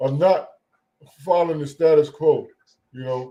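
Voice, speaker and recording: The man's pitch is fairly high. His tone is dark and mellow. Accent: American. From US South. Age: 60s. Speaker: rancher. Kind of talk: call-in discussion. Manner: halting.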